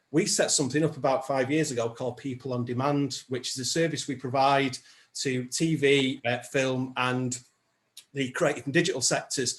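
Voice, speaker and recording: Speaking fairly quickly with a northern English accent, a man's fairly high, somewhat breathy voice comes through against a quiet background. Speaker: social enterprise founder, former music professional. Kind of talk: evidence session testimony. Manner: hesitant, many fillers.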